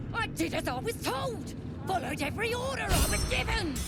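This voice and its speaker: Over loud background noise, someone does a put-on character voice at a fairly quick pace. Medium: game stream. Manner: rough, blunt.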